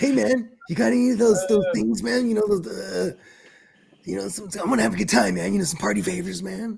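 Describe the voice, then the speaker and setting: Someone delivers a put-on character voice at a fairly quick pace. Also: man, high pitch for a man. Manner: casual, hip, slangy.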